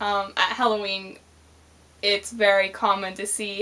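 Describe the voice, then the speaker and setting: Speaking with a Canadian accent, a woman talks fairly slowly in a medium pitch with monotone, flat intonation. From Canada. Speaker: vlogger. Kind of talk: casual vlog, accent tag.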